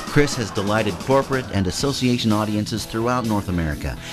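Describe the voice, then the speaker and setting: Music plays behind a man speaking at a very fast pace. His pitch is fairly low. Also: ordinary pitch variation. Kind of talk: promotional voiceover narration.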